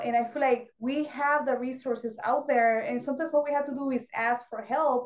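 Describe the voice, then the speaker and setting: A woman with a Spanish accent talks at a fairly quick pace in a high pitch, her intonation fairly even. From Mexico. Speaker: Navy veteran and fashion designer. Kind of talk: interview.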